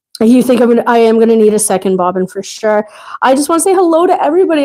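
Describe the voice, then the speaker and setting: A woman talks loudly at a very fast pace in a high pitch. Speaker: quilting instructor. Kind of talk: live tutorial. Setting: livestream. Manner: casual, chatty.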